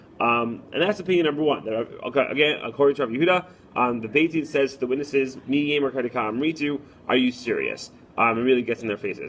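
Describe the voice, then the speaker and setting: A man's fairly quick speech with lively intonation, amid noticeable background noise. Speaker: rabbi and Talmud teacher. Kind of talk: recorded lesson. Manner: fast.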